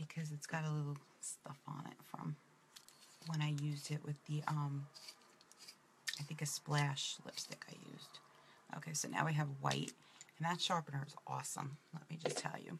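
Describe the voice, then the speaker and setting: A woman with a very deep, low voice speaks at a moderate pace with long, frequent pauses amid noticeable background noise. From New York City (Brooklyn). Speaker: makeup presenter. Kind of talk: makeup tutorial. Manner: casual, chatty.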